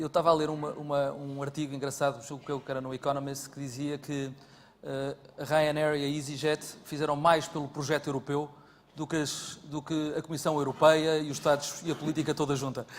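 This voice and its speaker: A man talks at a fairly quick pace in a flat, monotone delivery. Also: fairly high pitch for a man. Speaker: panel moderator. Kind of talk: panel discussion.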